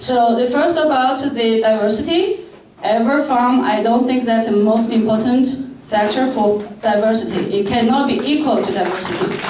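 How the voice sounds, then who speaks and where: A woman talks at a moderate pace with a fairly high pitch and ordinary pitch variation. Noticeable background noise and audible room echo fill the recording. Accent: non-native. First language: not English. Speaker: parent at public meeting. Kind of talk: public Q&A question.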